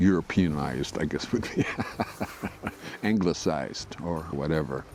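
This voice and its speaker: A man with an American accent speaks in a very deep, low pitch while music plays in the background. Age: old. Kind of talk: interview testimony. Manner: halting, many fillers.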